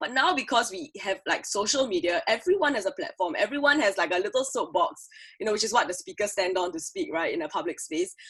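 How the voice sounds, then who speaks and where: Loud and very fast, a woman speaks at a fairly high pitch with very wide pitch swings. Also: hardly any pauses. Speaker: creative producer, conference speaker. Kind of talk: conference talk. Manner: animated.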